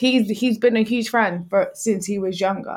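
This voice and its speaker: Over a very clean recording with a silent background, a woman speaks with an African accent in a monotone, flat intonation. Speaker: twitch streamer and podcaster. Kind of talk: casual chat.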